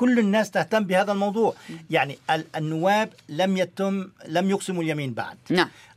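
The man's voice is high, and he keeps a moderate pace. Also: ordinary pitch variation. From Lebanon. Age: old. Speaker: retired engineer and lawyer, imam. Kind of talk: radio panel discussion. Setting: radio studio.

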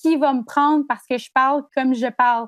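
In a dry, close sound with no echo, a woman with a high pitch speaks at a moderate pace and fairly even intonation. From Gaspésie, Quebec (Chandler). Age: 20s. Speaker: journalism student. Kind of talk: interview.

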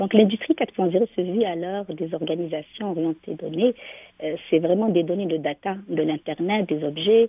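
A woman's voice at a fairly low pitch, with ordinary pitch variation and a moderate pace. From Algeria. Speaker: business association founder. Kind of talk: radio interview. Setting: phone call. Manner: hesitant with many fillers.

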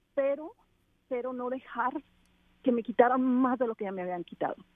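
A woman with a high voice keeps to a moderate speed. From Mexico, Culiacán, Sinaloa. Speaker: activist and endurance athlete, trafficking survivor. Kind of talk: interview testimony. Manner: halting, with frequent repetitions.

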